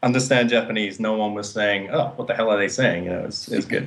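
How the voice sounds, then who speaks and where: Fairly even in intonation, a man with an English accent speaks at a fairly low pitch. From England, coastal town. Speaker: actor and martial artist. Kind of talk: interview.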